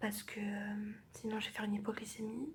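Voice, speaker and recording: A fairly high pitch marks this voice. It belongs to a woman. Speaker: vlogger. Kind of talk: casual vlog. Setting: hospital room. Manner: slow.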